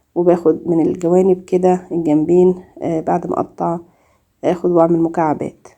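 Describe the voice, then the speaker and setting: Speaking with an Egyptian accent, a woman uses a fairly low pitch and fairly even intonation at a moderate pace. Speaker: cooking YouTuber. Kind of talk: cooking tutorial. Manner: halting, many fillers.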